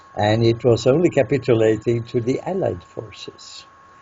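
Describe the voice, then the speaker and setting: A medium-pitched man with a Norwegian accent amid noticeable background noise. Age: 80s+. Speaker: peace researcher. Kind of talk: interview answer.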